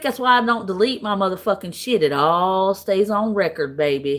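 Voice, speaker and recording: A woman speaks at a moderate pace in a bright, sharp, animated tone, her pitch swinging very widely. The recording is very clean, with a silent background. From US South, Tennessee. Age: 40s. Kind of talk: heated argument.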